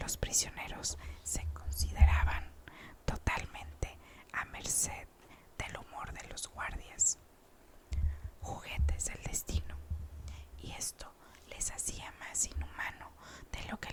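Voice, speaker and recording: Someone whispers at a very slow pace with long, frequent pauses over noticeable background noise. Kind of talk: whispered audiobook reading. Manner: whispered, soft-spoken.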